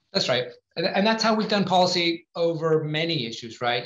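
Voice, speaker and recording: A man speaks at a fairly quick pace with ordinary pitch variation. The room echo is audible. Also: quiet background. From Northwest England. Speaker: climate policy advocate; guest. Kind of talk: panel Q&A; conference presentation. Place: home room. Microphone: video call.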